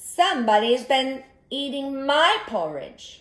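A female-sounding voice, pitched high, speaks fairly slowly in a put-on character voice. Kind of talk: medium-sized voice.

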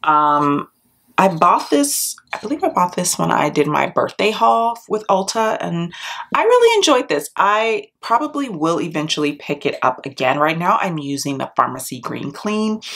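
This woman has a fairly low pitch. Her pitch swings very widely. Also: moderate pace. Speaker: beauty vlogger. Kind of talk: casual vlog chat. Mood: chatty, animated.

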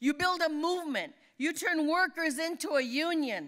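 In an American accent, a woman raises and projects her high-pitched voice. She goes at a fairly slow pace over a quiet background. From California Central Valley; California. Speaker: labor leader; speaker. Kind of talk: award acceptance speech. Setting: dinner event on stage. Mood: earnest, rousing. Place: hall. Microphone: podium.

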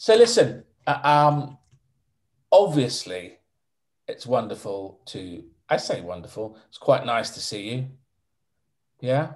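Very slowly, with long, frequent pauses, a man speaks in a somewhat breathy voice against a quiet background. His pitch swings very widely and his loudness rises and falls sharply. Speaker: interviewer. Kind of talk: casual interview questions. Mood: warm, gently joking. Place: home room. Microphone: video call.

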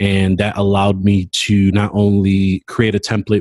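Fairly low in pitch, a man speaks in a dry sound with no echo. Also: quiet background. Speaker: podcast co-host. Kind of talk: casual update chat. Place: office. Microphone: webcam.

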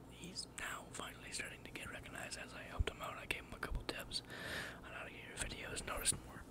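A man whispers at a very fast pace, his loudness swinging widely. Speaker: ASMR artist. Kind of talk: ASMR whisper ramble. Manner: whispered. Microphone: studio mic.

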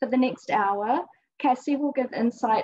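At a moderate pace and with ordinary pitch variation, the voice comes through against a quiet background. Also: woman. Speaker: event host introducing artist. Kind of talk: formal introduction speech. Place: hall. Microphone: video call.

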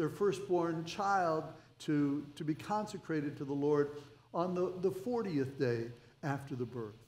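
A man's lively intonation at a fairly slow pace, with audible room echo. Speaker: pastor. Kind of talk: sermon. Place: church. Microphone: headset.

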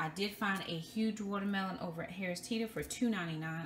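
A woman speaks at medium pitch and a moderate pace. Her tone is fairly bright, her intonation fairly even.

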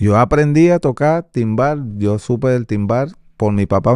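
A man's dark, mellow voice at a fairly slow pace, with lively intonation, a dry sound with no echo and a quiet background. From Venezuela, Caracas. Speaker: salsa timbal percussionist; guest. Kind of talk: interview. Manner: halting, frequent repetitions. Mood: relaxed, sometimes laughing. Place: studio. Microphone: studio mic.

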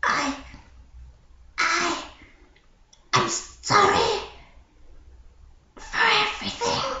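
This cartoonish character voice sits at an extremely high pitch. It moves at a very slow pace with long, frequent pauses.

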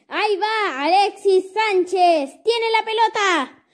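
In a cartoonish character voice, a woman speaks fairly slowly at an extremely high pitch. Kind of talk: sports commentary. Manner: excited, shouting.

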